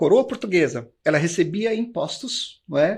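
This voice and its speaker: Lively intonation at a moderate pace, in a very clean recording with a silent background. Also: man. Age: 60s. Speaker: history teacher. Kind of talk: lecture. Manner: hesitant fillers (eh, né).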